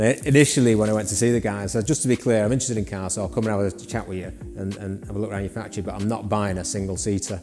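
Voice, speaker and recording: Against clear music in the background, a man speaks very fast at a fairly low pitch. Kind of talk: casual show-and-tell tour. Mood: proud, enthusiastic. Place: garage. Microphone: lapel.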